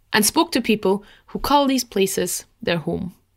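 A woman with an unremarkable speaking voice talks at a moderate pace. Her pitch is fairly high and her intonation lively. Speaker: podcast host, travel blogger. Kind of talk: interview conversation. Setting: video call.

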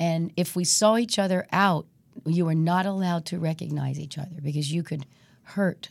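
The woman's pitch is fairly low. She keeps a moderate pace. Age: 60s. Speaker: singer, recording artist. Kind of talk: interview. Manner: animated.

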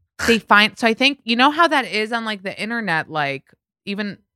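A woman with an American accent uses a normal speaking voice at a medium pitch with lively intonation. The recording is very clean, with a silent background and a dry, close sound without echo. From New York (Bronx) and Israel. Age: 30s. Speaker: podcast host and pop culture commentator. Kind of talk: casual chat.

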